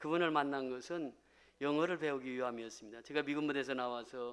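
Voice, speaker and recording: A man with a normal speaking voice talks fairly quickly in a fairly high pitch, with ordinary pitch variation. The recording is very clean, with a silent background. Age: 60s. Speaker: pastor. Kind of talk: testimony.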